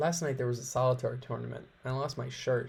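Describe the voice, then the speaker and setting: Here a man speaks with a somewhat breathy voice. His intonation stays fairly even. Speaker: let's play gamer. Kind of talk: game playthrough commentary. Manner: casual, reading game text aloud.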